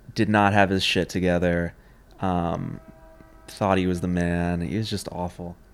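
This man has a very deep, low voice and an American accent, talking at a fairly slow pace. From New York City, Manhattan. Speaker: filmmaker. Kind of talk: casual chat. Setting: in person.

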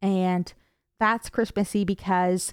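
A woman with an ordinary speaking voice and medium pitch talks at a fairly slow pace, captured on a very clean recording with a silent background and a dry, close sound with no echo. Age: 20s. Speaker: podcast host. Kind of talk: casual chat; reading aloud. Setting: home by a fire.

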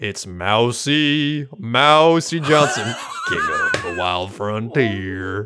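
Putting on a character voice, the man talks at a medium pitch and a very slow pace.

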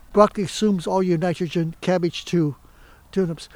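Speaking with an American accent, a man uses a high pitch and ordinary pitch variation. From US Midwest, Michigan. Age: 80s+. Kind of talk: casual conversation. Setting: dining room.

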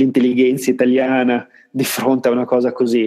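At a moderate pace, the speaker talks in a dark, mellow tone. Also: man. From Italy, Parma. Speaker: board game designer. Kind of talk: casual interview.

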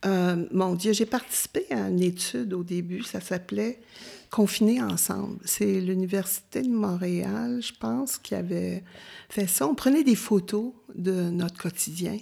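In a Quebec accent, the speaker talks at a fairly slow pace with lively intonation and a dark, mellow tone. The recording is very clean, with a silent background. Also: woman, medium pitch for a woman. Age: 70s. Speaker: retired volunteer. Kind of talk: interview. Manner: halting.

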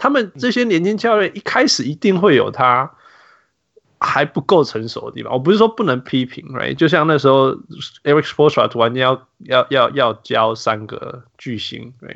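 Pitched fairly high, a man speaks at a moderate pace with very wide pitch swings and big swings in loudness. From Canada. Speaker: basketball podcast host. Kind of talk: casual chat.

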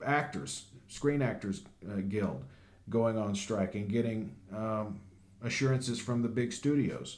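Audible room echo surrounds a man who talks at a fairly slow pace with lively intonation and long, frequent pauses. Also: medium pitch for a man. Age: 30s. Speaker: podcast host. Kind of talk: casual news commentary.

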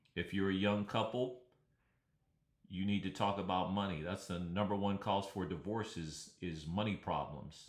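A man's fairly low, plain, everyday voice in an American accent, with fairly even intonation at a moderate pace. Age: 60s. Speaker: podcast host. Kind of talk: solo podcast monologue.

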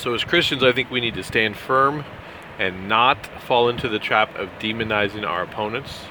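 The speaker has an American accent and talks at a moderate pace with fairly even intonation. Noticeable background noise runs underneath. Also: man, medium pitch for a man. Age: 40s. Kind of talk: solo commentary podcast.

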